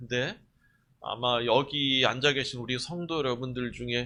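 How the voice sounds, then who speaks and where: A man speaks at a moderate pace in a bright, sharp tone. The background is quiet. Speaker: pastor. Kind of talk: sermon. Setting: church.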